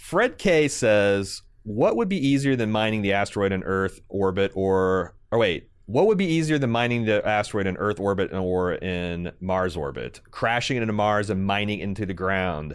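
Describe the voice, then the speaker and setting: Hardly pausing at all, a man talks at a moderate pace in a fairly low pitch. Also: ordinary pitch variation. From US Midwest, Indiana. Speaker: podcast host. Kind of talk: casual chat. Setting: video call.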